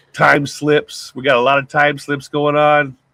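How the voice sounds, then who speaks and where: A loud man speaks at a moderate pace with a fairly high pitch. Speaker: podcast co-host. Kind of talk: casual chat. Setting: home-built sound booth.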